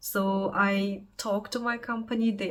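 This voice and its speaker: With noticeable background noise, a woman speaks in a fairly high voice with monotone, flat intonation. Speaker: vlogger, unemployed tech project manager. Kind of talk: personal vlog monologue. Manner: casual, hesitant with fillers.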